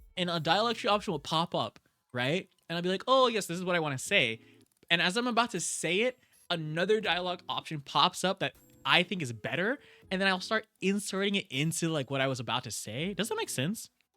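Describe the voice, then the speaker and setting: Music plays in the background of a dry, close recording with no echo. A man talks at a fairly quick pace in a high voice with lively intonation. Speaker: streamer. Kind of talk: casual chat. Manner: fast; stumbling, repeats words.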